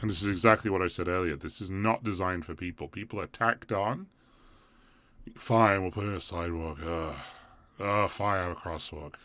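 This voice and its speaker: With an English accent, a man speaks at a fairly quick pace in a very deep, low pitch and a bright, sharp tone, his intonation fairly even, on a very clean recording with a silent background. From England. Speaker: community group organizer, live streamer. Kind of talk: live stream commentary. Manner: halting.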